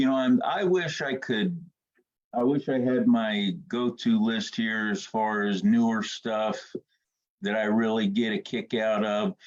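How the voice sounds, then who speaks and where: With a plain, everyday voice, a man talks at a fairly slow pace and medium pitch, his intonation lively. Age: 60s. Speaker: comics artist. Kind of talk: casual chat. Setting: live-streamed podcast.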